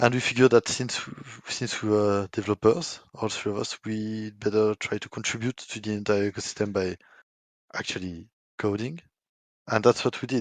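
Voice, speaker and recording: A man with a slight French accent and a fairly low pitch talks at a moderate pace with big swings in loudness, the sound dry and close with no echo and the background quiet. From France. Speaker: software developer. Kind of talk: community AMA discussion.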